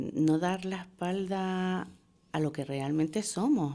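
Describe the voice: At a slow pace, a woman speaks in a fairly low pitch with a dark, mellow tone.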